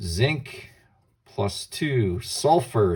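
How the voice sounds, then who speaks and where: A man's somewhat breathy voice sits at a medium pitch and carries a dark, mellow tone. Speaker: chemistry teacher. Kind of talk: lecture.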